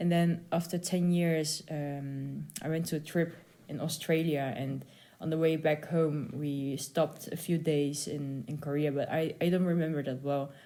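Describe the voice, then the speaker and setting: A woman speaks with a Dutch accent at a very deep, low pitch. Her intonation stays monotone and flat. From Netherlands. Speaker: concert pianist. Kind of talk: interview. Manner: halting.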